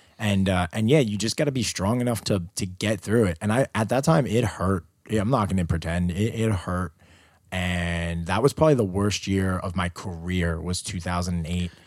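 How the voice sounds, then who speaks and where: Speaking with a Queens accent, this voice has ordinary pitch variation at a moderate pace. The recording is very clean, with a silent background. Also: man, very deep, low pitch for a man. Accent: New York City (Queens). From Queens, New York City. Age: 30s. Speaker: touring audio engineer. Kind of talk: casual interview chat. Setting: hotel room in New York City.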